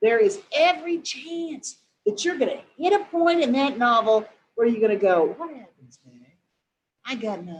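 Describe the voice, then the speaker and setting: High-pitched and animated in tone, a woman speaks at a moderate pace with very wide pitch swings. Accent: American. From southwest Missouri, Lawrence County and Springfield. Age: 60s. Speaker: novelist. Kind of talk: interview Q&A. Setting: webinar video call.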